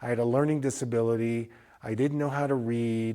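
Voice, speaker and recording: A man talks at a moderate pace in an unremarkable speaking voice with ordinary pitch variation. The recording is very clean, with a silent background. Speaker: eye doctor giving a business lecture. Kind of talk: lecture.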